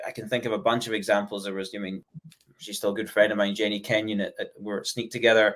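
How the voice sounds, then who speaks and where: On a very clean recording with a silent background, a man in a Scottish accent speaks at a fairly low pitch with monotone, flat intonation. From Scotland. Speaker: software company executive. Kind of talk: podcast interview. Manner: fast-paced; hesitant fillers.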